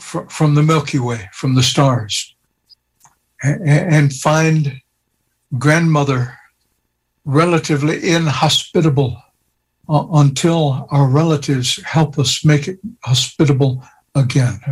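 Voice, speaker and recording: A man with a fairly high, somewhat breathy voice speaks at a fairly slow pace with fairly even intonation and long, frequent pauses. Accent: American. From US, Osage Nation. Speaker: retired theology professor. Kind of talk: radio interview.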